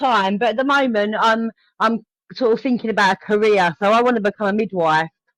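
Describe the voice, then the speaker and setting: With an English accent, a woman talks at a fairly quick pace and fairly high pitch, her loudness very even in a dry, close sound with no echo. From England. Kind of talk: casual conversation on a live stream.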